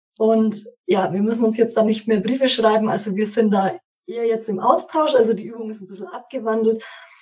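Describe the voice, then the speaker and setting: Somewhat breathy and fairly high-pitched, a woman speaks at a fairly quick pace with big swings in loudness. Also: ordinary pitch variation. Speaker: course participant. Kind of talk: interview.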